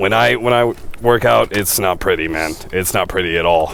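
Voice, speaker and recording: A man speaks over noticeable background noise. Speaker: esports commentator. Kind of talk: casual chat.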